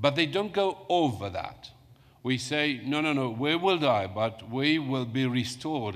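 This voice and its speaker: Using a Romanian accent, a man speaks at a fairly slow pace and a medium pitch with lively intonation. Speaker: academic conference panelist. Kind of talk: panel Q&A answer. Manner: halting.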